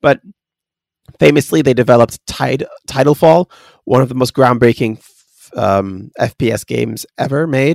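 The voice carries vocal fry and moves at a moderate pace, with a dry, close sound and no echo. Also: man, medium pitch for a man, ordinary pitch variation. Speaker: podcast host. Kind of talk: casual chat, enthusiastic review of a video game. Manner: enthusiastic.

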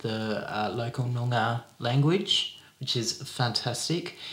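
A man speaks at a very slow pace with an Australian accent. His pitch sits in the medium range. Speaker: podcast co-host. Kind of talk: podcast conversation.

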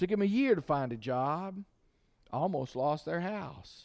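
A man talks in a normal speaking voice at a fairly slow pace. His intonation is lively. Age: 50s. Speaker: pastor. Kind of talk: sermon.

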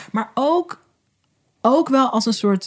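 The speaker talks fairly slowly with lively intonation. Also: woman. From Groningen, Netherlands. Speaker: video and visibility coach, documentary maker. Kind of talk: casual chat. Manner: animated, enthusiastic.

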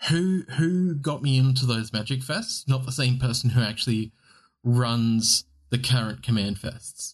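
In an Australian accent, the voice is somewhat breathy. It moves at a fairly slow pace with ordinary pitch variation. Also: man, medium pitch for a man. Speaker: podcast co-host. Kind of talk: casual chat. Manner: casual, swears often.

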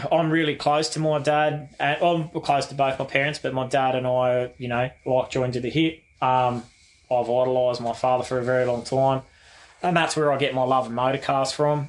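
A man talks at a fairly quick pace with an Australian accent and monotone, flat intonation. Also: medium pitch for a man. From Western Sydney, Australia. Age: 40s. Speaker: car enthusiast. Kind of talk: casual chat.

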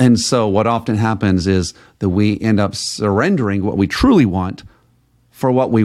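This man has an ordinary speaking voice, fairly low in pitch, with fairly even intonation at a moderate pace. The recording is very clean, with a silent background. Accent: American. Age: 40s. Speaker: podcast host and sales coach. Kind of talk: motivational monologue.

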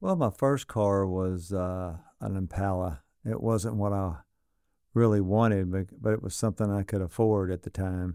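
Speaking in a Southern US accent, a man has a dark, mellow tone and fairly low pitch, talking at a moderate pace with ordinary pitch variation, in a dry, close sound with no echo on a very clean recording with a silent background. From Arkansas (Sardis area). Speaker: exotic car dealer. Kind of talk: casual interview chat.

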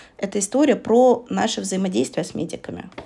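Her voice carries vocal fry and lively intonation. The woman speaks at a fairly quick pace. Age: 30s. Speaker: podcast co-host, hospice coordinator. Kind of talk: casual chat.

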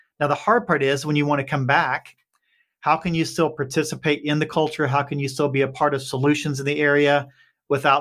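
A man's fairly high, bright, sharp voice in an Appalachian accent, flat and monotone, in a very clean recording with a silent background. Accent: Appalachian Southern US. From Appalachian Kentucky. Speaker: startup CEO. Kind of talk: interview conversation.

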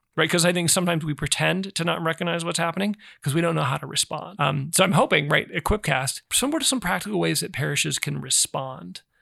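Speaking at a very fast pace with hardly any pauses, a man with a high pitch and a bright, sharp tone uses ordinary pitch variation in a very clean recording with a silent background and a dry, close sound with no echo. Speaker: podcast host. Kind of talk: casual interview chat. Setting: in-person studio recording.

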